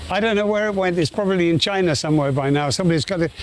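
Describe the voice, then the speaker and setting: Here a man speaks at a high pitch with lively intonation. There is noticeable background noise. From United Kingdom. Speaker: cheesemaker. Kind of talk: interview answer.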